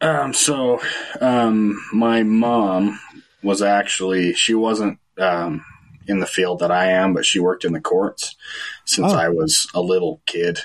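Speaking with an American accent, a man uses a normal speaking voice at fairly low pitch, with ordinary pitch variation, very even loudness, and a fairly slow pace. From central Utah, Fillmore. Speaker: paranormal investigator. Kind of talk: casual interview.

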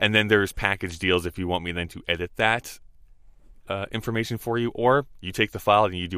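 On a very clean recording with a silent background, a man with an Albertan accent speaks in a bright, sharp tone with ordinary pitch variation. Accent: Canadian (Albertan). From Alberta, Canada (Rocky Mountain House). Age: 30s. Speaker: podcast studio owner. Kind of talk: casual chat.

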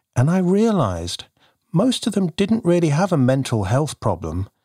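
A man speaks at a moderate pace, his pitch swinging very widely and his voice somewhat breathy. The sound is dry and close with no echo, on a very clean recording with a silent background. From UK. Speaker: podcast host, poet and coach. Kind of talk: scripted podcast talk and interview.

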